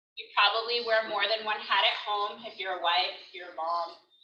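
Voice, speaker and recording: A woman's ordinary pitch variation is heard with audible room echo. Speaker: life coach. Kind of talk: workshop talk. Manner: animated.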